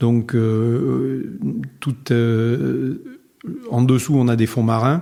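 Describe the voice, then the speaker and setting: A dark, mellow tone with fairly even intonation. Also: man. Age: 60s. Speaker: winegrower. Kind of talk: interview.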